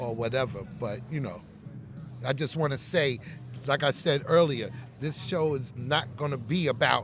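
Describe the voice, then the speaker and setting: Music plays in the background. A man talks at a moderate pace, leaving long, frequent pauses. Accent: New York. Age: 60s. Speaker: hip-hop artist. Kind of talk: interview. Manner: halting.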